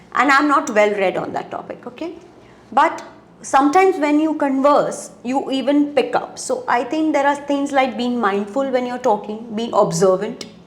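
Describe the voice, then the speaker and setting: Noticeable background noise accompanies a woman speaking at a moderate pace. Her voice is high, with lively intonation. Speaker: interviewer, career counsellor. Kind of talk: interview.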